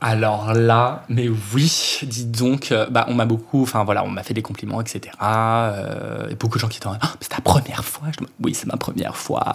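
Noticeable background noise sits behind a man who talks at a moderate pace in a medium pitch. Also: fairly even intonation. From Brittany, Finistère, France. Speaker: drag queen. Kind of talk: casual chat.

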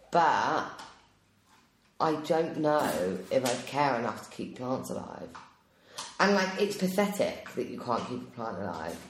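Amid noticeable background noise, a woman with a very deep, low pitch and very wide pitch swings speaks at a fairly slow pace with long, frequent pauses. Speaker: podcast co-host. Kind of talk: casual chat.

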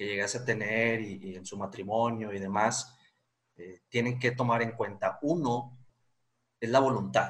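At a fairly slow pace, a plain, everyday voice keeps fairly even intonation while the loudness swings widely. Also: man, medium pitch for a man. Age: 20s. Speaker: lawyer. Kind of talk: interview.

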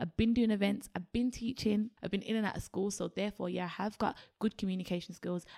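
At a very fast pace with hardly any pauses, a medium-pitched woman speaks in a Birmingham accent, the sound dry and close with no echo. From Birmingham, England. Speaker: creative agency co-founder. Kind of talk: interview. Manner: animated.

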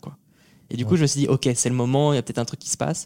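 Dry, close sound with no echo, carrying a man's medium-pitched voice. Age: 20s. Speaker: entrepreneur and video creator. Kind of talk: casual interview.

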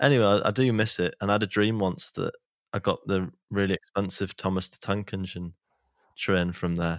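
In a Manchester accent, a man with a fairly low pitch speaks at a moderate pace in a playful tone, his intonation fairly even but his loudness swinging widely, on a very clean, dry, close recording with no echo and a silent background. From Manchester, England. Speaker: podcast host. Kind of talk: casual chat. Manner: joking, playful.

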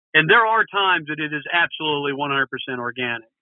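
In a Texan accent, a man speaks at a moderate pace. His pitch is fairly high, with ordinary pitch variation. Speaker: brewery and restaurant owner. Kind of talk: interview.

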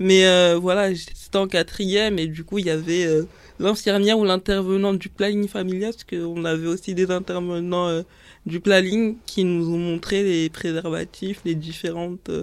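Over a silent background in a very clean recording, a woman speaks at a fairly slow pace with monotone, flat intonation. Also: medium pitch for a woman. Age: 20s. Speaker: student and influencer. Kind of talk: casual chat.

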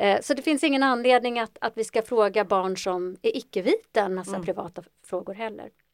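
A woman with a plain, everyday voice, fairly high in pitch, at a fairly quick pace, with ordinary pitch variation and a dry, close sound with no echo. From Ethiopia (adopted to Sweden). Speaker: psychologist. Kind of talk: interview.

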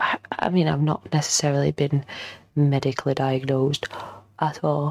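Low-pitched, slightly mellow woman's voice with little pitch movement at a moderate pace.

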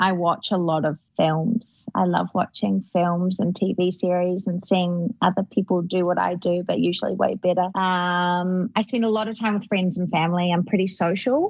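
A woman speaks in a New Zealand accent, somewhat breathy. She hardly pauses at all. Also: medium pitch for a woman, fairly even intonation, moderate pace. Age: 20s. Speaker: actress. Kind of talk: casual interview chat.

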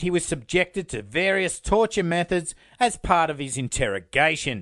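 Speaking with an Australian accent, a man uses a high pitch, lively intonation and a moderate pace. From Australia, Sydney. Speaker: true crime podcast host. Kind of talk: scripted narration.

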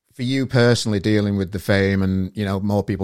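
A man's fairly low pitch in a monotone, flat intonation. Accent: Yorkshire. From northern England. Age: 40s. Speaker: podcast host. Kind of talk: casual chat.

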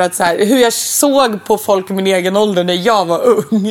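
Lively intonation marks a woman's fairly high-pitched voice against noticeable background noise. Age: 20s. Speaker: podcast co-host. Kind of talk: casual chat.

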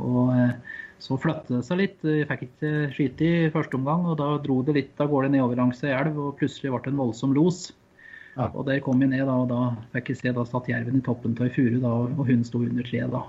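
Somewhat breathy, a man talks at a fairly quick pace and medium pitch, keeping his intonation fairly even. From eastern Norway, Finnskogen. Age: 30s. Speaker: hunting association chairman. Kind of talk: interview.

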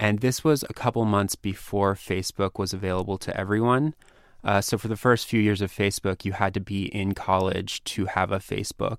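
Recorded very cleanly with a silent background, a man with a plain, everyday voice speaks at a moderate pace, his pitch fairly low and his intonation fairly even. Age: 30s. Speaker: magazine editor. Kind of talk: interview. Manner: casual, filler-heavy.

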